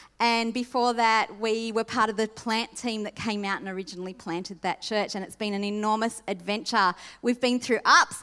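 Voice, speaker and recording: In an Australian accent, a woman speaks with a bright, sharp tone at a moderate pace, with fairly even intonation and hardly any pauses. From Sydney, Australia. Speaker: pastor. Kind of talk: sermon. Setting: church.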